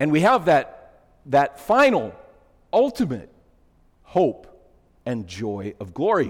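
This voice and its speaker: Very slow and broken by long, frequent pauses, a man's fairly high voice shows vocal fry and very wide pitch swings. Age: 50s. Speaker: pastor. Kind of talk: sermon. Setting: church.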